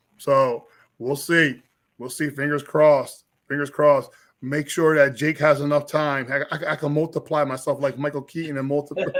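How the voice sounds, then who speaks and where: The intonation is monotone and flat. A man speaks at a moderate pace with a fairly high pitch. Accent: Philadelphia. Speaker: filmmaker, artist and convention organizer. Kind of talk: casual interview. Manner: stammering, repeats words.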